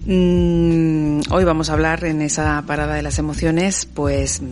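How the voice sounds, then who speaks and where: A woman is heard over noticeable background noise. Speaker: radio host. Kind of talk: late-night radio talk show with callers. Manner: hesitant, repeats words.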